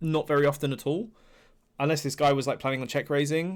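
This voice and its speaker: Very fast male speech, fairly high-pitched with fairly even intonation. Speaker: poker coach reviewing sessions. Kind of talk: live video review commentary. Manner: halting, stuttering and pausing.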